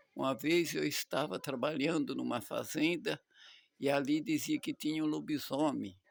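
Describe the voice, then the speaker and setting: A man with a fairly high pitch and vocal fry talks at a fairly slow pace. His intonation is lively. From Brazil, São Paulo state countryside. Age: 70s. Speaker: storyteller. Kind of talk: personal reminiscence monologue. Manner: halting, with repetitions.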